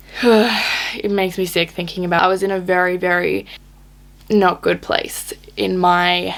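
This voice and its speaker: A shaky woman's voice over noticeable background noise. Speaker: fitness vlogger. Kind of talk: casual talk to camera, personal story. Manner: shaky, emotional.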